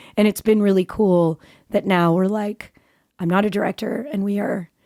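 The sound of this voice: A woman's raspy voice with vocal fry sits at a medium pitch, its dark, mellow tone carried on fairly even intonation in a very clean recording with a silent background. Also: moderate pace.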